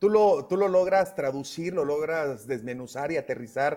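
Here a man has a normal speaking voice, fairly high in pitch, with ordinary pitch variation and a moderate pace. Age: 30s. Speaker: radio host. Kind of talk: radio interview.

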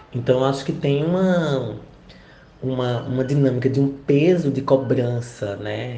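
A man speaks at a medium pitch and a fairly slow pace, with ordinary pitch variation and audible room echo. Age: 40s. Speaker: university professor and researcher. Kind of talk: interview answers. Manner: hesitant, many fillers.

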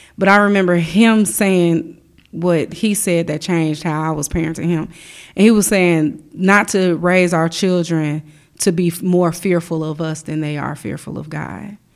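This woman has an unremarkable speaking voice with an American accent, fairly low in pitch, with ordinary pitch variation and a moderate pace, on a very clean recording with a silent background. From US Midwest, Chicago. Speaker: church worship director. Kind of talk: testimony.

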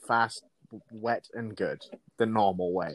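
Using a normal speaking voice, a man talks at a medium pitch and a fairly slow pace. The sound is dry and close, with no echo. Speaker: podcast co-host. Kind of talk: casual chat. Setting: remote call.

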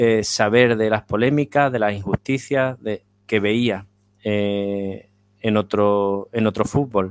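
At a very slow pace, a man talks with medium pitch and fairly even intonation, the sound dry and close with no echo, on a very clean recording with a silent background. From Spain. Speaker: football writer. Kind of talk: interview.

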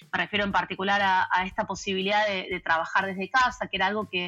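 Music plays in the background as a woman talks at a very fast pace. Her pitch is medium and her intonation fairly even. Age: 40s. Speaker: organizational culture consultant. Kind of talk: interview.

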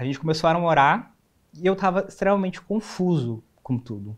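Very wide swings in pitch from a man talking at a middling tempo. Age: 20s. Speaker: advertising designer. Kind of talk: interview.

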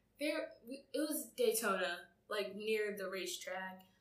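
A fairly high-pitched woman with an American accent and lively intonation, amid audible room echo. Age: 20s. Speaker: podcast co-host. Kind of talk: casual chat.

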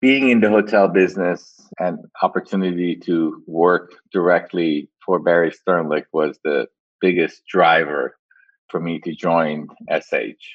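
A man's very deep, low voice at a fairly slow pace, the intonation fairly even. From Iran. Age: 50s. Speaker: hotel company president. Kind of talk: interview.

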